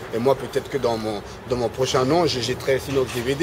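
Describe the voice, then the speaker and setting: There is noticeable noise in the background. Over it, a man speaks very fast. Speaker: rap web reporter and radio pundit. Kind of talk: casual interview. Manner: halting, many fillers and repetitions.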